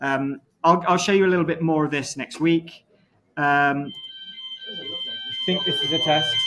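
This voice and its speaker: Over music in the background, a man speaks high-pitched and fairly slowly, with ordinary pitch variation and long, frequent pauses. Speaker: university lecturer. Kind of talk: lecture.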